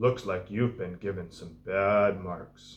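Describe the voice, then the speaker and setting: Putting on a character voice, a man speaks at a fairly slow pace, fairly low in pitch, with fairly even intonation. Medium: read story. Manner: warm, gentle.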